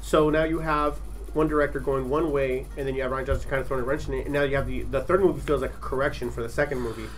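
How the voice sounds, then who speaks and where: A man races along at a very fast pace while noticeable background noise carries on behind him. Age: 30s. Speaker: podcast host. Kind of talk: casual chat. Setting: studio tent.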